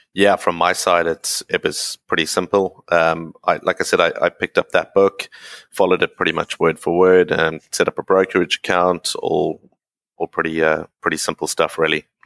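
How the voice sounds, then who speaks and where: A man with a South African accent at a moderate pace, in a dry, close sound with no echo. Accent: non-Canadian, South African. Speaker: expat communications professional. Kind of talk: casual interview.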